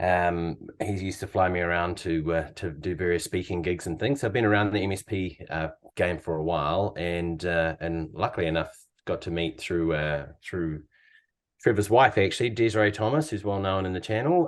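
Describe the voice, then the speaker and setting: At a moderate pace, a man with a New Zealand accent speaks in a very deep, low voice with ordinary pitch variation against a quiet background. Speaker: company founder and CEO. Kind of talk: podcast interview.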